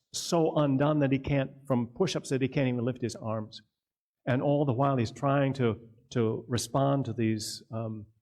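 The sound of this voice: With quiet surroundings, the reading voice sounds unforced.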